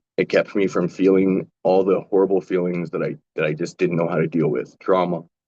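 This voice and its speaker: With a western Canadian accent, a man speaks in a very deep, low pitch and a dark, mellow tone, at a fairly quick pace with fairly even intonation, in a dry, close sound with no echo. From western Canada, Calgary. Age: 40s. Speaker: panelist with lived experience of drug use. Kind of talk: personal testimony.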